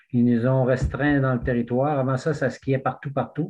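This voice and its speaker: In a flat monotone, a man talks at medium pitch. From Quebec, Témiscouata region. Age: 60s. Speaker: backcountry skier. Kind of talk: casual chat.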